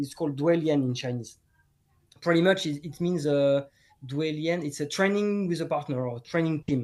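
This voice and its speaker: Over a quiet background, a man with a French accent speaks at a moderate pace. His pitch is fairly high, with ordinary pitch variation. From France, Bordeaux. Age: 40s. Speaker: martial arts teacher. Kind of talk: casual chat. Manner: halting.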